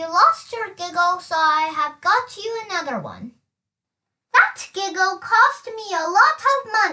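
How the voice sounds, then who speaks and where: A woman puts on a squeaky character voice at an extremely high pitch, with very wide pitch swings, big swings in loudness and a fairly slow pace. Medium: read story. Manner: jolly, laughing.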